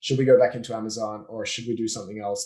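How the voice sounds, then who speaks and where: With an Australian accent, a man speaks at a medium pitch in a dark, mellow tone. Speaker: business owner, offshoring and systems consultant. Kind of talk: podcast interview.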